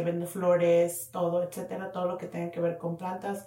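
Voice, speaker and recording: Somewhat breathy, a woman talks at a medium pitch with audible room echo around her. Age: 30s. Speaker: podcast co-host. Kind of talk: casual chat.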